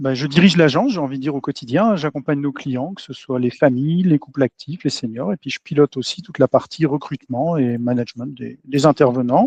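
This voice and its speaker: The sound is dry and close with no echo as a man speaks at a fairly quick pace. His fairly high pitch shows ordinary variation, with big swings in loudness. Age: 40s. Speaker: entrepreneur, agency owner. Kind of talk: podcast interview. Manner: hesitant, many fillers.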